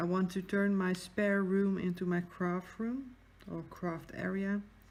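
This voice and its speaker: Speaking in a Dutch accent, a woman keeps a fairly slow pace. Her pitch is medium. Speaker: craft YouTuber. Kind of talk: casual chat. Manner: hesitant.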